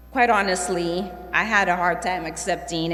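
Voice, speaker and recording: Noticeable background noise and audible room echo surround this woman's voice. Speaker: award recipient, trauma nurse. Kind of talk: acceptance speech. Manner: halting.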